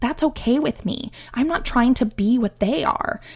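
At a moderate pace, a woman talks in an animated tone with lively intonation and a somewhat breathy sound. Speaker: podcast host. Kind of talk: solo podcast talk.

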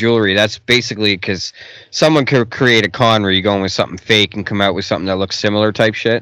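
The speaker is a man with a Canadian accent. He talks at a very fast pace with a fairly low pitch. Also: very clean recording, silent background. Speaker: podcast host. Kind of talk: casual interview chat. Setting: studio.

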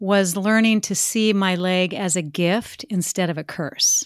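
A woman talks at a very slow pace on a very clean recording with a silent background. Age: 50s. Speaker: former Olympic skier and speaker. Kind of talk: interview conversation.

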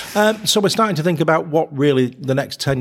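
Lively intonation marks this man's speech in a northern English accent. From northern England. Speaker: accountant and business owner. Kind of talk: casual interview chat.

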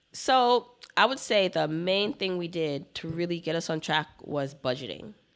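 Speaking in an unremarkable speaking voice, a woman has an American accent and a fairly low pitch. Her intonation is lively and her pace moderate. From Brooklyn, New York. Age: 30s. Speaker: personal finance educator. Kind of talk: interview.

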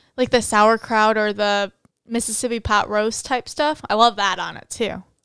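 An ordinary speaking voice at a moderate pace. The recording is very clean, with a silent background. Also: woman. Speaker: podcast co-host, accounting student. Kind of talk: casual chat.

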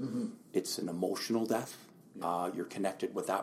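Speaking at a fairly quick pace, a man talks with a western Canadian accent. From Lower Mainland, British Columbia, Canada. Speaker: realtor. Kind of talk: interview.

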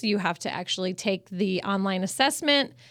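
A woman speaks at a medium pitch in a Midwestern American accent, her intonation lively. The recording is very clean, with a silent background. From Michigan and Missouri. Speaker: business owner. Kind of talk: casual interview.

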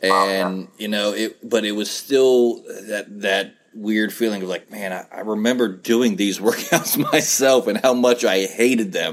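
There is noticeable background noise behind the speaker. A man talks at a moderate pace with an American accent. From West Virginia. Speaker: podcast host. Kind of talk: casual interview.

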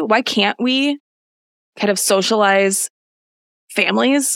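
The sound of this woman with an American accent is dry and close, with no echo. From US Midwest. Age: 30s. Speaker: podcast host. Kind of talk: casual chat.

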